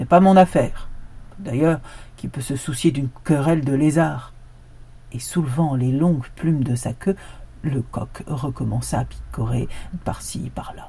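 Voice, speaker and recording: A woman speaks in a solemn tone at a fairly slow pace, with long, frequent pauses. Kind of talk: folktale storytelling, scripted narration of a fable with a moral. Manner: solemn, proverb-like delivery in the opening moral.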